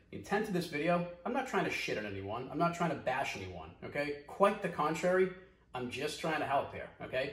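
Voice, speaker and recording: Talking very fast with lively intonation, a man in a Boston accent is heard over noticeable background noise and audible room echo. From US Northeast, Boston. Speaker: video commentator, business owner. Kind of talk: commentary vlog. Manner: fast, direct; animated.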